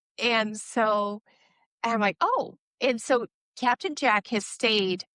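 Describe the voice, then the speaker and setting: This woman talks very slowly in a Midwestern accent, her pitch fairly high with ordinary variation. The tone is bright and sharp, and the sound is dry and close with no echo. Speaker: ADHD coach and author. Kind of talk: interview conversation.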